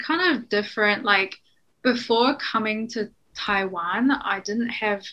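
A woman with a New Zealand accent speaks at a fairly high pitch with ordinary pitch variation. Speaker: NGO worker. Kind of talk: interview.

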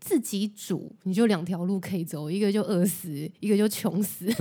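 A dark, mellow voice speaks at a moderate pace. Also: woman. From Taiwan. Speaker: podcast host and Japanese-language tour guide. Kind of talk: casual chat.

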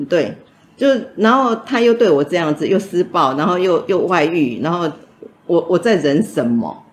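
Moving at a moderate pace, the voice swings very widely in pitch. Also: woman, fairly low pitch for a woman. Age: 60s. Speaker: domestic violence survivor. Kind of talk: testimony.

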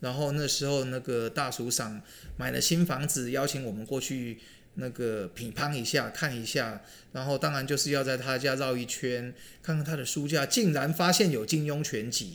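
Here a man talks with a normal speaking voice at a medium pitch. His pace is moderate, with ordinary pitch variation. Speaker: podcast co-host, retired finance worker. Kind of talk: casual chat.

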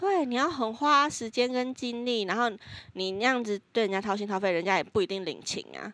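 Here a woman talks at a fairly quick pace. She has a plain, everyday voice pitched fairly high. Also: lively intonation. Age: 20s. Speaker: podcast co-host. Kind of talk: casual chat.

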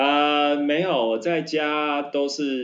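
A man talks at a fairly high pitch. He goes at a very slow pace. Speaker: podcast co-host. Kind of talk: casual chat.

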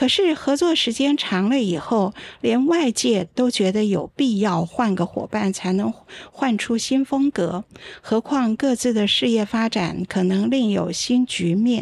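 A woman has an ordinary speaking voice, fairly high in pitch, with lively intonation. She speaks at a fairly slow pace and very even loudness. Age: 60s. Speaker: opera playwright and professor. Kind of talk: casual chat. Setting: live stream with studio audience.

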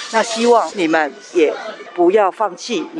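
Over music in the background, a woman speaks at a moderate pace with very wide pitch swings. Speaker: mother of a musician with Down syndrome. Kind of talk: interview testimony.

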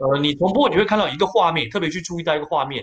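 A man is speaking. His intonation is lively. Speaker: sports news anchor. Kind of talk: casual chat. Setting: live stream.

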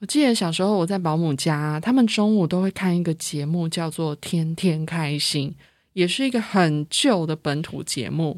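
The speaker has a Taiwanese accent and ordinary pitch variation. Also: woman, fairly low pitch for a woman, moderate pace, very clean recording, silent background. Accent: Taiwanese Mandarin. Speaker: podcast host. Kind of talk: casual solo monologue.

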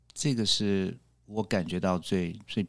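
A man with an unremarkable speaking voice talks at a fairly low pitch with fairly even intonation. The recording is very clean, with a silent background. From Taiwan, moved to US at 12 (Orange County, California). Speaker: public speaking club member. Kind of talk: casual interview.

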